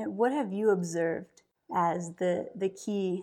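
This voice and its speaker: At a fairly slow pace, a woman with a medium pitch and a dark, mellow tone speaks on a very clean recording with a silent background. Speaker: company CEO and podcast host. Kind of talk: interview-style conversation.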